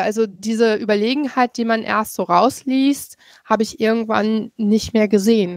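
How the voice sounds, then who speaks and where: Fairly high-pitched, a woman speaks at a fairly slow pace. The sound is dry and close, with no echo. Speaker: podcast guest. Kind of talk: casual book discussion.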